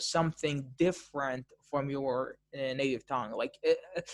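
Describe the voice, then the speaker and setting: Moderate pace in an Arabic accent. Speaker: language-learning YouTuber interviewing a guest. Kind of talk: casual interview conversation. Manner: halting, many fillers and repetitions.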